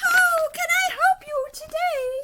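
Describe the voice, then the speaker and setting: A female-sounding voice is put on as a character. It is squeaky and pitched extremely high. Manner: polite, helpful.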